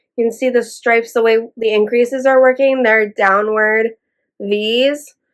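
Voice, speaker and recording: A woman speaks with a fairly high pitch. Her intonation stays monotone and flat. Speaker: knitting podcaster. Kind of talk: casual talk to camera. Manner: chatty, rambling.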